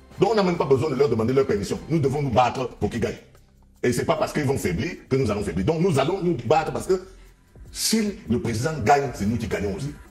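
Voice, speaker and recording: Music plays behind a man speaking at a very fast pace. His voice is fairly high and makes very wide pitch swings. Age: 60s. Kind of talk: interview.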